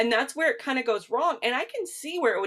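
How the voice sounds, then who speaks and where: A woman with a Midwestern accent talks at a very fast pace in an animated tone. Her pitch swings very widely. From US Midwest. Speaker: nutritional therapy practitioner, podcast co-host. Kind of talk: casual chat.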